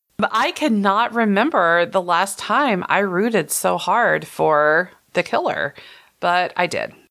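A woman with a Texan accent, medium-pitched, with a bright, sharp tone and vocal fry, lively intonation at a very slow pace, very even loudness, on a very clean recording with a silent background. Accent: Texan American. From rural Texas. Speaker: podcast host, horror film critic. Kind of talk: casual chat.

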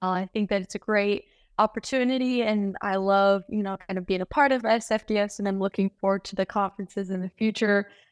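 A woman with an American accent speaks in a normal speaking voice at a medium pitch and a fairly quick pace. The recording is very clean and dry, close with no echo, over a silent background. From Lake Tahoe area, US West. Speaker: medical student. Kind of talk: casual interview.

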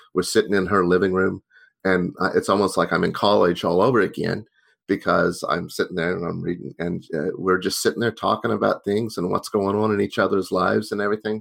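With an American accent and a fairly low pitch, a man talks in fairly even tones on a very clean recording with a silent background. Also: fairly quick pace. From Oklahoma, US South (Tulsa). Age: 50s. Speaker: priest and software engineer. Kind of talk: interview. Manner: halting, repeats words.

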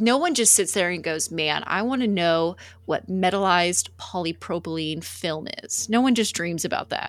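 A woman's fairly low, animated voice in a Texan accent, on a very clean recording with a silent background. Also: ordinary pitch variation, moderate pace. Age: 20s. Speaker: HVAC industry sales representative. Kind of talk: casual chat.

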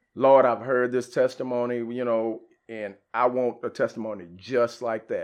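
Flat and monotone, a man talks at a moderate pace with an American accent. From Dallas area, Texas. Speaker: church member sharing testimony, liver cancer survivor. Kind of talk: testimony.

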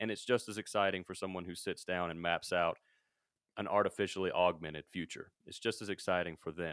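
With an American accent, a man talks at a fairly quick pace in a very deep, low pitch. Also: fairly even intonation. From US South, Mississippi. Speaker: podcast host and media company founder. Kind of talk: casual chat. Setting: remote call.

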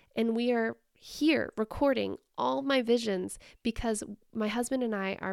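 Speaking at a fairly slow pace with lively intonation, a fairly high-pitched woman is heard on a very clean recording with a silent background. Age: 40s. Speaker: podcast host. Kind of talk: solo monologue.

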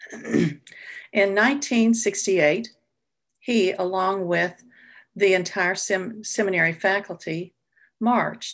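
Over a quiet background, a woman with a medium-pitched voice speaks fairly slowly in a Southern US accent. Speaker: retired music teacher. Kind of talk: personal storytelling. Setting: video call.

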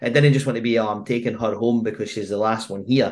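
Talking at a fairly quick pace, a man speaks with a Scottish accent. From Scotland. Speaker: football podcast host. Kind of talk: casual chat.

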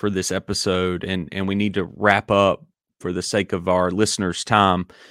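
In a very clean recording with a silent background and a dry, close sound with no echo, a man with a Southern US accent talks fairly slowly in a fairly low pitch. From US South, Dillon, South Carolina. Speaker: podcast host, sports coach. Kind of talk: theological discussion. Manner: hesitant with many fillers.

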